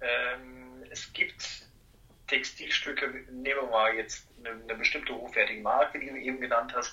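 A man speaks at a medium pitch and moderate pace with monotone, flat intonation. His loudness swings a lot over noticeable background noise. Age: 30s. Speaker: master dry cleaner and laundry owner. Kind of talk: casual interview.

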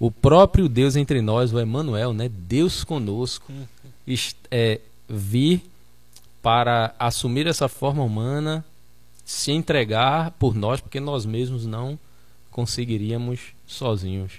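Very slowly and with long, frequent pauses, a man at a medium pitch speaks with ordinary pitch variation. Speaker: pastor, debate panelist. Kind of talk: religious debate.

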